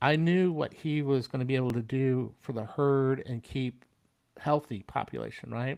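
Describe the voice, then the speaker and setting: A man with an unremarkable speaking voice and an American accent speaks at medium pitch. His pace is moderate and his intonation fairly even. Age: 60s. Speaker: military veteran. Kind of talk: casual interview chat.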